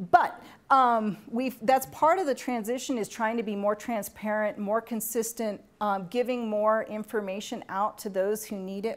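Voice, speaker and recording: With an ordinary speaking voice, a woman talks at a moderate pace and fairly high pitch, using ordinary pitch variation and hardly any pauses. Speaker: university grants administrator presenting a workshop. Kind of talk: training workshop presentation.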